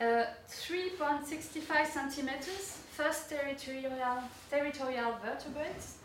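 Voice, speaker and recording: A woman's high pitch, French accent and fairly even intonation at a very slow pace, with noticeable background noise and audible room echo. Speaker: urban geographer and senior lecturer. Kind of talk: opening talk at an academic forum. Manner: hesitant, many fillers.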